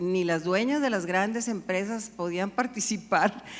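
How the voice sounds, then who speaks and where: This is an unremarkable speaking voice at a fairly slow pace, with ordinary pitch variation. The recording is very clean, with a silent background. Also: woman. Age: 60s. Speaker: business and civic leader. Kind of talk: panel discussion.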